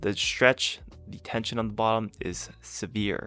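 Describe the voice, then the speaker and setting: Music runs in the background. A man's fairly low voice is heard over it. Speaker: fitness YouTuber, powerlifter. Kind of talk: casual workout commentary voice-over. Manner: casual, joking.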